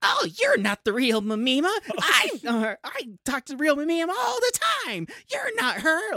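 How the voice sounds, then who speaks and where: High pitch and moderate pace in a put-on character voice. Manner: over the top, crazy.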